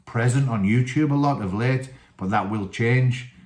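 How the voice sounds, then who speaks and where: A man with a Teesside accent. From northern England, Teesside. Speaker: wrestling coach and channel host. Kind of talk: solo video talk, book review. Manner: casual, many fillers.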